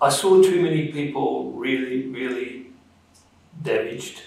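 Delivered at a very slow pace with ordinary pitch variation, the speech comes in an Australian accent over noticeable background noise. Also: man. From Perth, Western Australia. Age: 60s. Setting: studio.

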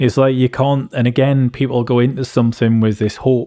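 A man with an English accent talks at a fairly quick pace and a medium pitch, his intonation fairly even. His tone is dark and mellow, recorded dry and close with no echo. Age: 40s. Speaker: tinnitus patient and forum co-founder. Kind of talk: casual chat.

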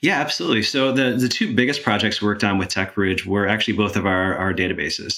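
A man with an American accent talks at a very fast pace, his voice fairly low and his loudness very even. He barely pauses, his pitch varies in an ordinary way, and background noise is noticeable. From Michigan. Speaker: nonprofit chief information officer. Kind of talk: interview.

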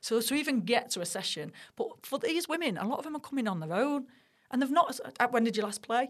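A woman's high-pitched voice in a Mancunian accent, very fast, with very wide pitch swings. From Manchester, Middleton. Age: 40s. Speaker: sports broadcaster. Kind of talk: casual chat.

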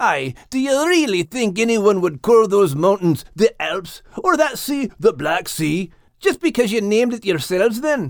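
A man's put-on character voice, high-pitched, with big pitch swings and a fairly slow pace, on a very clean recording with a silent background

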